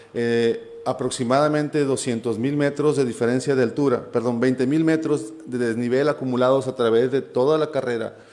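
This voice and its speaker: Amid noticeable background noise and audible room echo, a man talks at a fairly slow pace with ordinary pitch variation. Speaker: preacher. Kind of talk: sermon.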